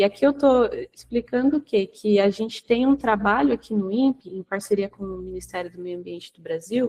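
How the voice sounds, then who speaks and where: A woman with a dark, mellow tone speaks at a medium pitch with ordinary variation and hardly any pauses. Her loudness swings a lot, and the sound is dry and close with no echo. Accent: Brazilian. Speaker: researcher presenting at a webinar. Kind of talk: technical presentation. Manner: slow.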